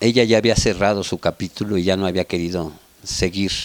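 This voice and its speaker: A man talks in a normal speaking voice at a moderate pace, with a dry, close sound and no echo. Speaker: family member interviewee. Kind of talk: documentary interview.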